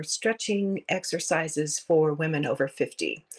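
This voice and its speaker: At a moderate pace, speech comes through with noticeable background noise. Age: 60s. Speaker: listener. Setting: recorded voice message.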